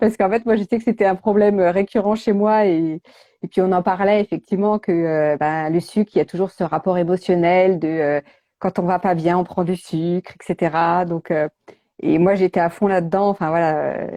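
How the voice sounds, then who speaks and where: A woman's dark, mellow voice sits at a medium pitch with fairly even intonation and a moderate pace, recorded with a dry, close sound, no echo, and a quiet background. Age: 40s. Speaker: nutrition coach and author. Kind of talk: casual interview chat. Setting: Instagram live video call. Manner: hesitant, many fillers.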